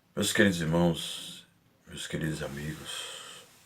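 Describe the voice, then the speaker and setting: A soft-spoken man talks at a fairly slow pace, with audible echo from the room. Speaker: preacher. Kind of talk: sermon.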